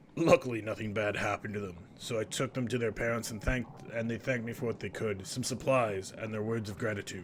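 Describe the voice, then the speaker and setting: Putting on a character voice, a man speaks raspily at medium pitch with fairly even intonation. He goes very fast with hardly any pauses, over clear background noise. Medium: game stream.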